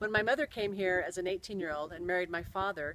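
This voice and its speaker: A woman with an American accent talks at a very fast pace. Her medium pitch varies in an ordinary way. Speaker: storyteller. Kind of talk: personal storytelling.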